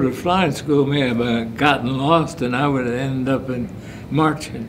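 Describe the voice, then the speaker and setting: There is noticeable background noise behind this man. He has an American accent and ordinary pitch variation. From United States. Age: 80s+. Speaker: war veteran. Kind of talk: interview answer. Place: meeting room.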